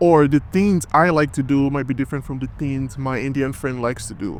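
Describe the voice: A man with a Nigerian accent speaks at a fairly quick pace and a medium pitch. His tone is slightly mellow, with ordinary pitch variation.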